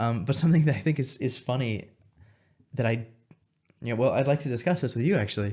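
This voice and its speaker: A man with an American accent talks very fast at medium pitch, his dark, mellow tone somewhat breathy, with ordinary pitch variation. Long, frequent pauses break up his speech in a very clean recording with a silent background. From Montana, US. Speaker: linguist and consultant. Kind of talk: casual interview conversation. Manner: halting, many fillers and repeats.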